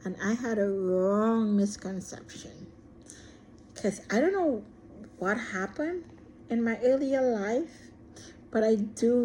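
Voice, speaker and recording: Somewhat breathy and dark, mellow in tone, a woman speaks at a fairly slow pace with fairly high pitch. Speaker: vlogger. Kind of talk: personal monologue. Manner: shy.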